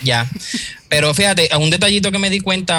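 With ordinary pitch variation, a man speaks in an ordinary speaking voice at a moderate pace. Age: 30s. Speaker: graphic designer. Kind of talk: casual chat.

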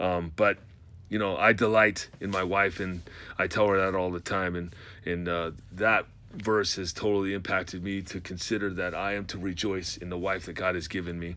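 Bright and sharp in tone, a man's very deep, low voice moves at a moderate pace in a monotone, flat intonation. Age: 40s. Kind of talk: solo monologue on faith and marriage. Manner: halting, many fillers and repeated words.

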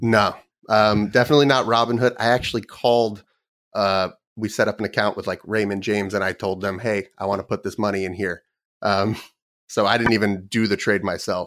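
It is an ordinary speaking voice with fairly even intonation. The recording is very clean, with a silent background. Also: man, fairly low pitch for a man, fairly quick pace. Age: 30s. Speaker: trader and trading program developer. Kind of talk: casual interview.

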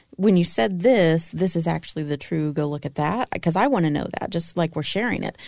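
A woman has an ordinary speaking voice, fairly low in pitch. She talks at a fairly quick pace with ordinary pitch variation. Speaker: podcast co-host. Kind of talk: casual chat.

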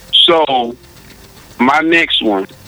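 A man speaks over noticeable background noise. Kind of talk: casual interview conversation.

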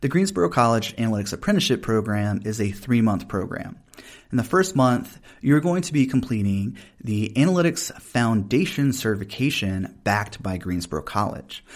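Here a man with a Southern US accent speaks at a moderate pace. His pitch sits in the medium range but swings very widely. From US South. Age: 30s. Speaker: podcast host and professor. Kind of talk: casual interview conversation.

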